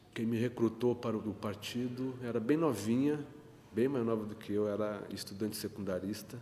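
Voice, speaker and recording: A man's medium pitch with fairly even intonation at a moderate pace. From Rio Grande, Rio Grande do Sul, Brazil. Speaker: photographer and union activist. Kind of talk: interview answer.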